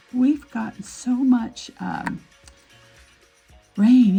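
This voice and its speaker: Music plays in the background. Over it, a woman speaks with an American accent. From Nevada, USA. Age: 70s. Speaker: aesthetician. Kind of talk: casual talk to camera.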